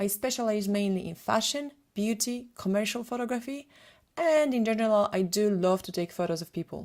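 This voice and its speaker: With a Polish accent, a woman talks at a fairly quick pace. Her pitch is fairly high, with ordinary pitch variation. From Poland. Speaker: photographer and retoucher. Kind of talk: webinar presentation.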